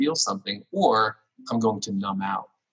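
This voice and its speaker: A man with an unremarkable speaking voice talks at a moderate pace with lively intonation. The sound is dry and close, with no echo. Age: 30s. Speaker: pastor. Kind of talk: casual chat.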